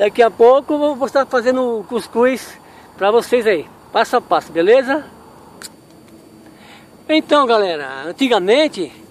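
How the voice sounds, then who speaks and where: A man's voice is heard. The sound is dry with no echo, over light background noise. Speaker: outdoor cooking vlogger. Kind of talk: casual vlog chat. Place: waterside. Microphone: phone near.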